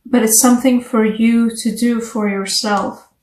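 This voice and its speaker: A woman with a non-native accent speaks in a high voice. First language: not English. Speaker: tarot reader. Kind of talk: tarot reading. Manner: casual, conversational.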